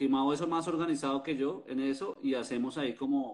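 In an ordinary speaking voice, a man keeps a moderate pace and ordinary pitch variation. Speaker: podcast host and festival organizer. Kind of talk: casual chat.

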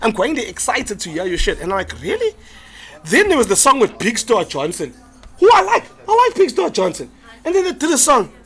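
A man speaks at a fairly quick pace with an extremely high pitch, very wide pitch swings and an animated tone. Noticeable background noise sits behind him. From South Africa. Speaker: comedian and podcast co-host. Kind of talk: casual chat. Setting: live in a pub.

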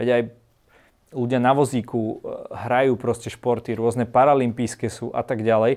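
Monotone and flat, a man speaks at medium pitch and a moderate pace. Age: 20s. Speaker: winter swimmer. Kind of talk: casual chat.

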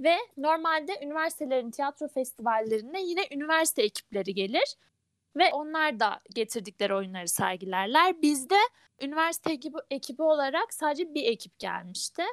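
A woman speaks fairly quickly in a high voice with very wide pitch swings. The recording is very clean and dry, with a silent background, a close sound and no echo. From Ankara, Turkey. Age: 20s. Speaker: engineering student, theatre club member. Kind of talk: casual chat.

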